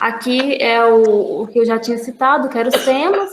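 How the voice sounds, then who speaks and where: This woman's voice sits high, and she takes her words at a fairly slow pace. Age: 20s. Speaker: university student teaching a course. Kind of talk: online lecture. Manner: halting, with repeated words.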